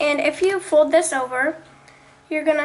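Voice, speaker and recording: A woman speaks at a high pitch with fairly even intonation. Noticeable background noise is present. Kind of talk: craft tutorial talk to camera. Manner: casual, hesitant.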